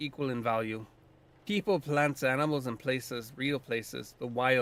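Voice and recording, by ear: The passage is read aloud in a natural voice.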